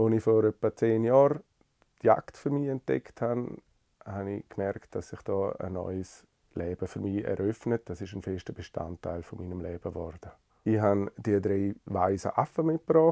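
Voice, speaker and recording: A man with a fairly low pitch and a dark, mellow tone talks at a moderate pace with lively intonation and big swings in loudness, the sound dry and close with no echo over a quiet background. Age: 40s. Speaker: lawyer and parliamentary secretary. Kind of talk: personal portrait interview.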